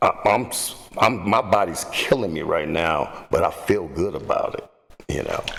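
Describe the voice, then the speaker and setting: Noticeable noise fills the background while the words unfold at a fairly slow pace. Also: man. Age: 60s. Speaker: fitness guest, bodybuilder. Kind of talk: casual chat. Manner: halting, repeats words.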